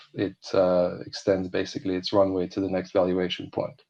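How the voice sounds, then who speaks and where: A man with a non-native accent speaks at a moderate pace in a fairly low pitch with a dark, mellow tone. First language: not Polish. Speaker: panel moderator. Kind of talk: panel discussion.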